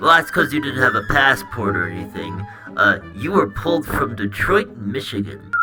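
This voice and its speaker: A man uses a put-on character voice at medium pitch and a moderate pace. Clear music plays in the background. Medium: machinima. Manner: casual, offhand.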